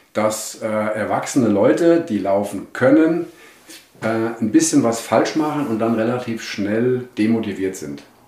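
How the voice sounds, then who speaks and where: Amid audible room echo, a man speaks fairly slowly at a medium pitch. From Germany, Hesse (Wetzlar). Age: 60s. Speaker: running coach and shop owner. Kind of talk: podcast interview. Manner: hesitant, many fillers.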